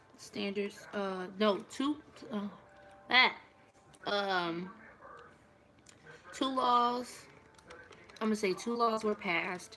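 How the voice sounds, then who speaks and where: With a bright, sharp tone, a woman talks at a very slow pace, leaving long, frequent pauses and using ordinary pitch variation. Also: medium pitch for a woman. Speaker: video diarist. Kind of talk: casual study vlog. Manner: slow, halting.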